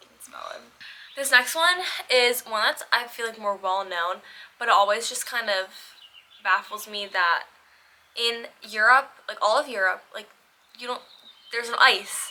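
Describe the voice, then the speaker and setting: With an American accent and an animated tone, a woman at a fairly high pitch uses lively intonation at a moderate pace. Long, frequent pauses break up her speech, and noticeable background noise is present. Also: big swings in loudness. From United States. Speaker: lifestyle vlogger. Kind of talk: casual chat.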